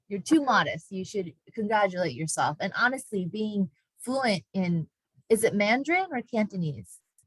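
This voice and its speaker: With lively intonation and a moderate pace, a woman speaks at a medium pitch in a somewhat breathy voice, recorded dry and close with no echo. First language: not English. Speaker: university diversity education staff, moderator. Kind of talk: moderated online panel discussion.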